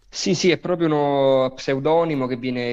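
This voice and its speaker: A man's medium-pitched voice with fairly even intonation. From Naples, Italy. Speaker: actor. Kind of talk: interview.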